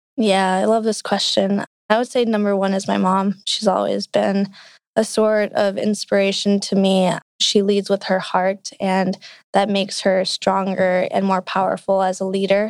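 A woman with an American accent speaks at a medium pitch and a moderate pace, her intonation monotone and flat. Her loudness is very even, and the recording is very clean with a silent background. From US (Indian American family). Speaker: startup CEO. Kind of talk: interview.

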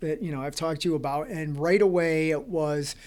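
A man speaks in an ordinary speaking voice at a fairly high pitch with ordinary pitch variation. The recording is very clean, with a silent background. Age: 50s. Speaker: podcast host, addiction recovery advocate. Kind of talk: casual interview.

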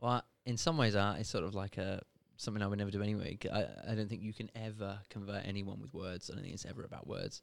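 A man with a British accent, fairly low-pitched, very fast pace, ordinary pitch variation. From Britain. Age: young. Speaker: podcast co-host. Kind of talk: casual chat.

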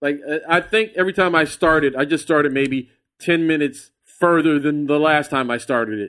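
A man with a normal speaking voice and an American accent, fairly high in pitch with ordinary variation, at a fairly quick pace, in a very clean recording with a silent background. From Texas, San Antonio. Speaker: comedian and podcaster. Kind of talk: casual chat.

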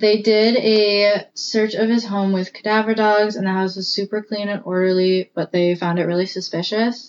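This woman talks at a moderate pace with hardly any pauses and fairly even intonation. Her medium-pitched voice is an unremarkable speaking voice. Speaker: co-host. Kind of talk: casual chat.

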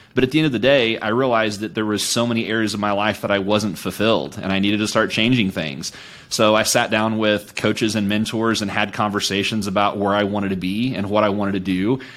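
A man races along at a very fast pace with hardly any pauses, his pitch fairly low and his intonation fairly even. Noticeable background noise is present. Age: 40s. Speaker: coach and entrepreneur. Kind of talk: casual chat.

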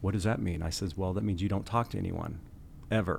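This man has a very deep, low voice that is somewhat breathy. He talks at a very fast pace with an American accent. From Kansas. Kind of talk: casual conversational interview. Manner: energetic, fast talker when preaching.

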